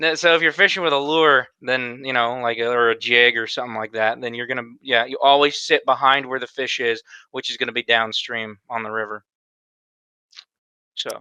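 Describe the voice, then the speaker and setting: This man speaks at a medium pitch with a bright, sharp tone and a slight Southern US accent. His pace is moderate and his intonation fairly even. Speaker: podcast co-host. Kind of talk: casual chat.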